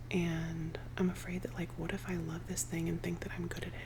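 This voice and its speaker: Someone whispers at a very fast pace against noticeable background noise. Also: woman. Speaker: ASMR creator. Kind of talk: ASMR rambling, casual talk to camera. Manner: soft-spoken, cozy.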